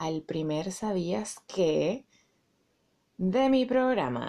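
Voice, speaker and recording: Speaking at a very slow pace, a woman uses a fairly low pitch with very wide swings and a dark, mellow tone. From Venezuela (Caracas). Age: 30s. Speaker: podcast host. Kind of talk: casual monologue.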